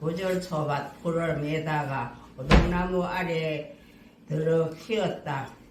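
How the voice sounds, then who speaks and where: Over noticeable background noise, a woman with a very deep, low pitch speaks at a very slow pace and a fairly even intonation. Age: 80s+. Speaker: senior center member. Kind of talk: poetry reading. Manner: clear, careful, raised voice.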